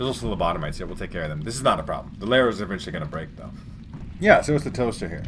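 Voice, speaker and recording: A man's medium-pitched voice at a very fast pace, with big swings in loudness and audible room echo. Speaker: gaming youtuber. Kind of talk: let's play commentary.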